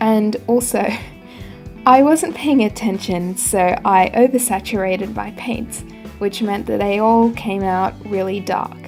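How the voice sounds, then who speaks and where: A woman at a medium pitch, fairly slow in pace with ordinary pitch variation, music in the background. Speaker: artist. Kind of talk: casual voice-over narration. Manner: carefully recorded, not very fluent diction.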